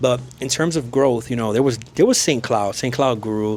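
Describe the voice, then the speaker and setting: Moderate pace against noticeable background noise. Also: man. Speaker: realtor and mortgage broker. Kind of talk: real estate video tour. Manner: casual, conversational.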